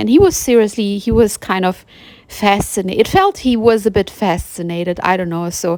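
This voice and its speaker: A woman's medium-pitched voice with a non-native accent, fairly quick delivery and fairly even intonation. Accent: noticeable non-native accent in English. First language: German. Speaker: spiritual vlogger. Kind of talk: personal monologue. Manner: halting, with fillers and restarts.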